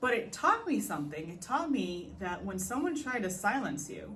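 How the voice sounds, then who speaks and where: Someone with a non-native accent speaks at a moderate pace amid noticeable background noise and audible room echo. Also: woman. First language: not English. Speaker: podcast host. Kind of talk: personal reflective monologue. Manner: hesitant, many fillers.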